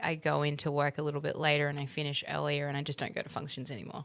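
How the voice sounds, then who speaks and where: On a very clean recording with a silent background, a woman with a very deep, low pitch speaks in an Australian accent with a bright, sharp tone. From Middle East (Kuwait, Egypt, Saudi Arabia), then Australia. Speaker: interior designer. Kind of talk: interview conversation.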